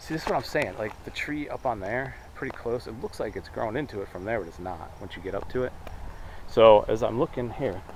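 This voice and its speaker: Amid noticeable background noise, a man speaks at a moderate pace with a medium pitch and lively intonation. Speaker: paranormal investigator vlogger. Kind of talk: on-location narration. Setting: outdoors. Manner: loud; halting.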